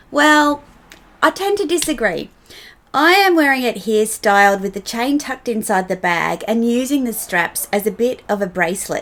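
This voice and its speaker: This woman speaks with an Australian accent. Her pitch swings very widely. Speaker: fashion vlogger. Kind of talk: casual talk to camera about fashion.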